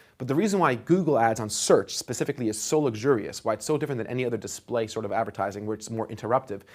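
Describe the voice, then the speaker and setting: Recorded very cleanly against a silent background, a man talks at a very fast pace with a medium pitch and ordinary pitch variation. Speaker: online course instructor. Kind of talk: lecture. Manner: animated.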